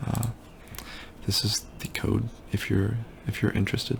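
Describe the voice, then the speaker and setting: Whispering, a man goes at a fairly slow pace. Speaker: student. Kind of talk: casual project demo narration. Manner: whispered.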